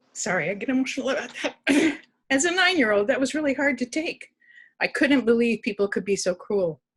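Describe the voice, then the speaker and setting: A woman with an American accent speaks at a fairly quick pace in a high voice, her pitch swinging very widely. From Oregon, Milwaukie area. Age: 70s. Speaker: resident speaking at a town hall. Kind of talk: personal testimony. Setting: virtual town hall video call.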